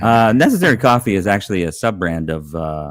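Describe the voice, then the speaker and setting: Lively intonation runs through a man's speech. The sound is dry and close with no echo, very clean over a silent background. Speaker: talk show co-host. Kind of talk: casual chat. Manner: fast.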